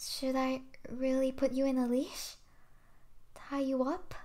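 Speaking fairly slowly, a woman uses a high pitch with a dark, mellow and menacing tone. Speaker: ASMR roleplay voice actor. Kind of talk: ASMR yandere roleplay, whispered possessive monologue to a captive listener. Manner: hushed, tender and menacing, slow, intimate, with soft sweet laughs.

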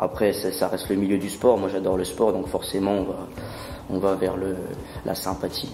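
Music plays in the background. Audible room echo is present as well. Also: man. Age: 20s. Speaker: sports club business developer. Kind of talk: interview.

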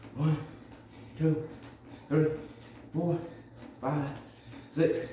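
Light background noise and audible room echo surround a man's voice. He has a fairly high pitch and monotone, flat intonation. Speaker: fitness instructor. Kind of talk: rhythmic rep counting. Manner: brisk, punchy, steady count. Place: gym. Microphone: phone near.

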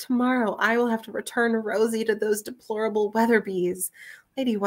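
A natural reading voice with fairly even intonation against a quiet background.

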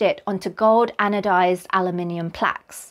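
Over a quiet background, a woman speaks at a fairly slow pace. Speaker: presenter. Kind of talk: educational explainer.

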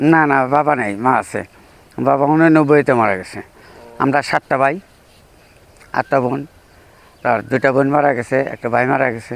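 This is a man with an unremarkable speaking voice. His pitch sits at medium and his intonation is fairly even. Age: 50s. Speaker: interviewee on filial duty. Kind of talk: informal religious advice.

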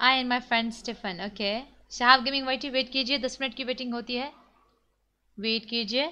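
Over a quiet background, a woman speaks at a high pitch with a bright, sharp tone. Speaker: game streamer. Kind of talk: casual live-stream chat. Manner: animated.

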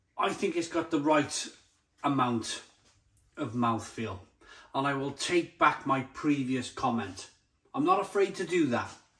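A man's fairly high-pitched voice with lively intonation at a fairly slow pace, long frequent pauses, and a quiet background. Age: 40s. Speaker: beer reviewer. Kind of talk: product review. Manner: animated. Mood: enthusiastic, jovial. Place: kitchen. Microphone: phone near.

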